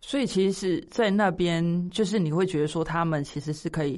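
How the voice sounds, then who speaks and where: A woman has a normal speaking voice with a fairly low pitch and ordinary pitch variation. She talks at a moderate pace over a quiet background. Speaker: podcast co-host. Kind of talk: casual chat.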